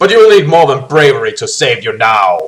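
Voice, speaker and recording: A man does a put-on character voice. He talks fairly quickly with a fairly high pitch. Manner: mocking.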